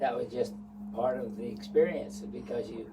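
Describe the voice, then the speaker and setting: In a room with audible echo and noticeable background noise, a man speaks at a moderate pace. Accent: American. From US West, St. George, Utah. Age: 70s. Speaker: retired businessman, lifelong local. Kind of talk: interview, reminiscing.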